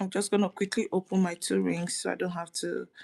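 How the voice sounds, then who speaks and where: A soft-spoken woman talks at a fairly quick pace. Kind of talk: tutorial. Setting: livestream from her dining room.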